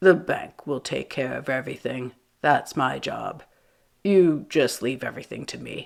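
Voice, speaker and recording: A woman puts on a raspy character voice with a very deep, low pitch, speaking at a moderate pace. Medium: read story. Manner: smooth, officious.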